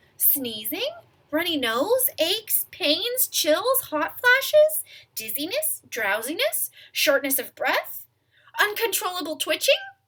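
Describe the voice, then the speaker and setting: Mumbling in a put-on character voice, a woman goes at a fairly slow pace, her extremely high pitch making very wide swings. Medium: read story. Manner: brisk, mumbling.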